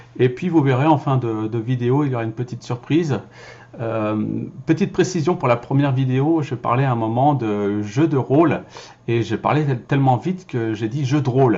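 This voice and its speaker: At a moderate pace, a man with a medium pitch and ordinary pitch variation sounds somewhat breathy. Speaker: voice-over actor and filmmaker. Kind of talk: casual vlog talk. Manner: hesitant, many fillers.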